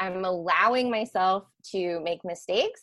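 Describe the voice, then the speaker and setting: This woman has a plain, everyday voice, pitched in the medium range with ordinary pitch variation. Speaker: mental health professional. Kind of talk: interview.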